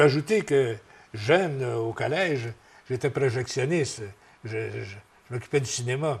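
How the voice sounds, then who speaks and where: A somewhat breathy man's voice at medium pitch with ordinary pitch variation. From Quebec, Berthierville area. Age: 70s. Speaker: retired radio broadcaster. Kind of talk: interview. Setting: tv studio. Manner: halting.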